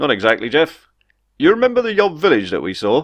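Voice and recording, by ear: Using a put-on character voice, a man talks at a fairly quick pace with a fairly high pitch and very wide pitch swings.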